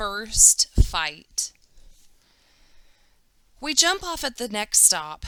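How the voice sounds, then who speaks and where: Her tone bright and sharp, a woman speaks at a very slow pace with vocal fry and very wide pitch swings. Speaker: teacher. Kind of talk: children's book read-aloud.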